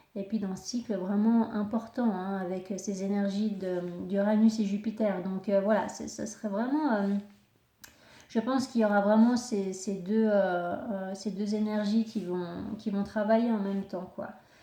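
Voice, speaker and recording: A woman is speaking with fairly even intonation. Noticeable background noise is present. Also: medium pitch for a woman, fairly slow pace. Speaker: astrology and tarot reader. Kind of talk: spiritual guidance talk. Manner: halting, many fillers.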